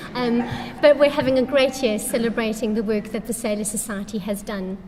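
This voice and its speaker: A woman speaks with a fairly high pitch. Noticeable background noise and audible room echo are present. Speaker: charity representative. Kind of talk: conference talk.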